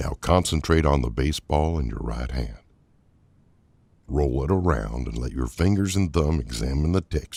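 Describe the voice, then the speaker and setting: With lively intonation and a calm, soothing tone, a man speaks in a very deep, low pitch. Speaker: voice-over artist. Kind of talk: guided meditation narration. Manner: calm, slow, soothing.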